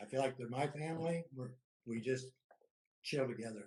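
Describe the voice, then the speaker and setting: A somewhat breathy man with an American accent and ordinary pitch variation. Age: 70s. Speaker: war veteran, cannabis business owner. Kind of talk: casual chat.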